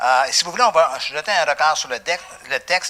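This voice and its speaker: A man with a Quebec accent, fairly high pitch and animated tone at a fairly quick pace. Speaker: pastor. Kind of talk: sermon.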